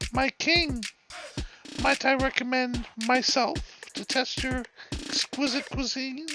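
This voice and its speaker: A man's put-on character voice, extremely high-pitched, at a fairly slow pace with long, frequent pauses and music in the background. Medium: read story. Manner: obsequious, sly.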